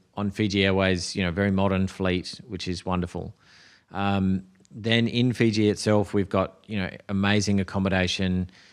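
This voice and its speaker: With an Australian accent, a man speaks at a moderate pace in a fairly low, monotone voice with flat intonation, recorded very cleanly against a silent background. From Australia, Adelaide. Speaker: tourism board executive. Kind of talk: podcast interview. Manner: hesitant, many fillers.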